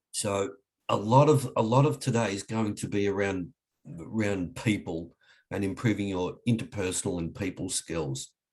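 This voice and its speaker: Speaking with an Australian accent, a man keeps a moderate pace, a fairly low pitch and ordinary pitch variation. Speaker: leadership trainer. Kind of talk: webinar presentation. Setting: online webinar. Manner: hesitant, many fillers.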